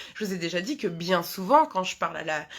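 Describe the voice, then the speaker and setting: On a very clean recording with a silent background, a woman speaks at a medium pitch and a fairly quick pace, her pitch swinging very widely. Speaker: hypnotherapist. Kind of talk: live talk to viewers. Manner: fast; halting, many fillers.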